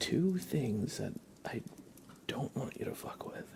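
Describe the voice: A man whispers at a slow pace. Vocal fry creeps into his voice.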